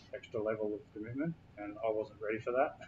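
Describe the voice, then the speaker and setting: This man talks with an Australian accent. His pace is fairly quick. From Australia, Brisbane south side. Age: 40s. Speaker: hip hop artist and youth mentor. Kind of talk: interview. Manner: casual, halting with fillers.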